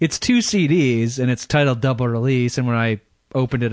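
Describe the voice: Plain reading aloud with ordinary pitch variation, set against a quiet background.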